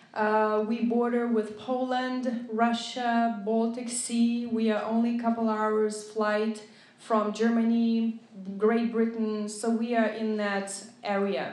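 Slowly and with little pitch movement, a woman with a Lithuanian accent speaks in a fairly high, slightly mellow voice, with audible room echo.

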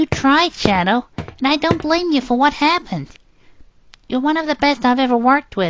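A female-sounding, high-pitched put-on character voice at a moderate pace. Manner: brisk, analytical.

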